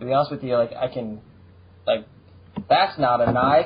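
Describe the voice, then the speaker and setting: A man in an American accent talks very fast, with noticeable background noise. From United States. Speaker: podcast host. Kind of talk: casual chat. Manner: animated.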